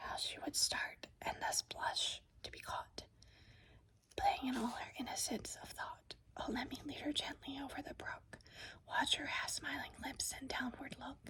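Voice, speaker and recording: Whispering at a fairly slow pace, the speaker uses a soothing tone. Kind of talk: whispered poetry reading, ASMR. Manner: whispered, soothing.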